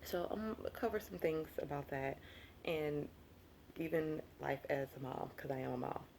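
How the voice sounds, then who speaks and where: A woman with a Southern US accent, very deep and low-pitched, in an animated tone. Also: lively intonation. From US South. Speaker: lifestyle vlogger. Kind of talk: casual vlog monologue. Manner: fast when excited; chatty, animated.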